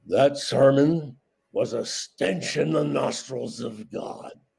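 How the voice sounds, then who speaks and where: A man puts on a character voice, fairly high in pitch and delivered very slowly. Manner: thundering, pronouncing judgment.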